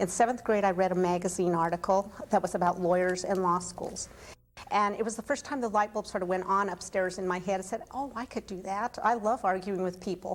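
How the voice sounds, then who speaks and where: A woman with an American accent speaks in a normal speaking voice at medium pitch and a fairly quick pace. Her intonation is fairly even, and the recording is very clean with a silent background. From Colorado (Buena Vista). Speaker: attorney. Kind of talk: interview testimony.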